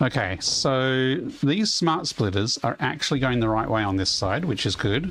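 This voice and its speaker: Over noticeable background noise, a man at medium pitch speaks at a moderate pace with very wide pitch swings and very even loudness. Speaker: video game streamer. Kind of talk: live gameplay commentary. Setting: livestream. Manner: rambling conversational.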